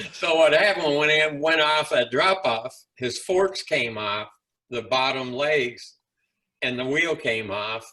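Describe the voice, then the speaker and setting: This man's voice sits fairly high and has a bright, sharp tone, with ordinary pitch variation. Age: 70s. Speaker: former professional motocross racer. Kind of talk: interview answer.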